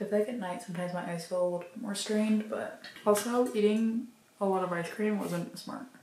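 Against light background noise and audible room echo, a woman talks at a very fast pace with ordinary pitch variation. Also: medium pitch for a woman. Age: 20s. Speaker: college student; vlogger. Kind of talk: casual vlog talk to camera. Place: home room. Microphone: camera far.

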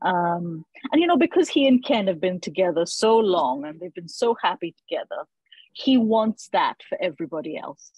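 A woman's somewhat breathy voice swings very widely in pitch and heavily in loudness, recorded dry with no echo against a quiet background. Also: moderate pace. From India. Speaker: author; interviewee. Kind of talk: casual chat. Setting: video call. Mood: warm, thoughtful. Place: home room. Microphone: earbuds.

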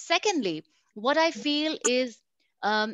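A woman with an Indian accent speaks with lively intonation. The sound is dry with no echo and the background quiet. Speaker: learning and development professional; panelist. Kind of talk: panel discussion. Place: home room. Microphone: video call.

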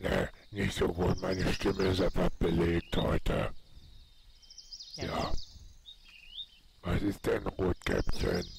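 Putting on a character voice, a man growls out hoarse, very deep, low-pitched lines at a fairly slow pace with long, frequent pauses. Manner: evasive, fake sweetness.

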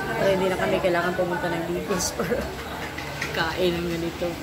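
Loud background noise fills the recording. A woman talks at a fairly quick pace. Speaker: vlogger. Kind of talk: casual vlog chat. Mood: relaxed, playful. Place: cafe. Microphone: phone near.

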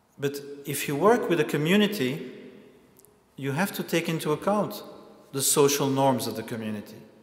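Using long, frequent pauses, a man speaks at a moderate pace in a fairly high voice with lively intonation and audible room echo. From Belgium. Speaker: lecturer and activist; lecturer. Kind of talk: lecture. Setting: stage with audience. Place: hall. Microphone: lapel.

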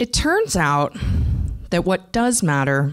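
A woman speaks at a fairly slow pace with a fairly low pitch, in a normal speaking voice. The background is quiet. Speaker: conference speaker. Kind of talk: conference talk. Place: stage. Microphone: handheld.

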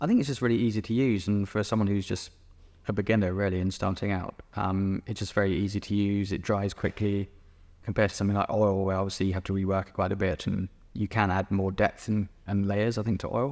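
Delivery is at a very fast pace in a monotone, flat intonation with a southern English accent. The background is quiet. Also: man, fairly low pitch for a man. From England, East Sussex; England. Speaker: painter. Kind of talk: interview. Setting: gallery exhibition. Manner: hesitant, many fillers. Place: hall.

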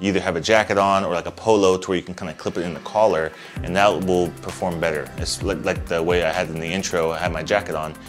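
A man's very deep, low voice at a very fast pace, with fairly even intonation, hardly any pauses and clear music in the background. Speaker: tech reviewer. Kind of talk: product review. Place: home room. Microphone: lapel.

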